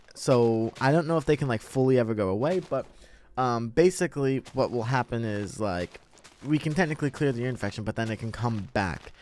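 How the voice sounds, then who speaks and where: A man speaks quietly at a fairly quick pace, his medium-pitched voice showing ordinary pitch variation. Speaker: gaming content creator. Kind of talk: personal story told over gameplay. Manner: halting, many fillers.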